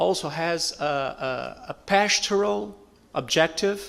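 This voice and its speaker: Over noticeable background noise, a man with a fairly high pitch speaks with lively intonation. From Portugal. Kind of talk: audience question at panel. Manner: halting, hesitant.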